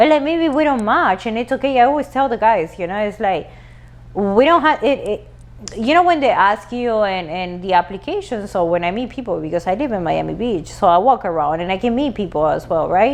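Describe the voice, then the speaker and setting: A woman talks fairly quickly in a Spanish accent. Her medium-pitched voice swings very widely in pitch. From Latin America. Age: 40s. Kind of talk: casual chat.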